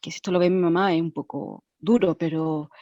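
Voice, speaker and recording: Over a quiet background, a woman talks at a fairly slow pace in a dark, mellow tone and a fairly low pitch, with a dry, close sound and no echo. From Chile. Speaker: former actress. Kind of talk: personal testimony. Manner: halting.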